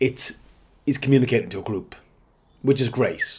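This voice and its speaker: A man with an Irish accent talks at a moderate pace. His voice is somewhat breathy, with ordinary pitch variation. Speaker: digital marketing consultant. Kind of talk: tutorial. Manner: halting.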